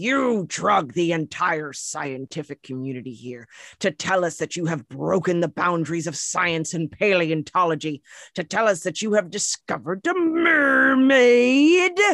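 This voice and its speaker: A put-on character voice at middle pitch with very wide pitch swings, dry and close with no echo. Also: moderate pace. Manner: scornful, shaming.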